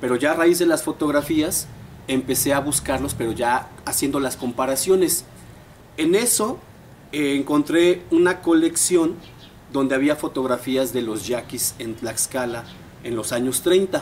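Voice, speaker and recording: A man in a central Mexican accent, fairly high-pitched and fairly slow, with ordinary pitch variation and light background noise. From Mexico, Puebla state (San Martín Texmelucan); Puebla, Mexico. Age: 40s. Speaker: history graduate student; interviewee. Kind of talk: interview. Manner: conversational, with filler words. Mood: engaged storytelling. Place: garden.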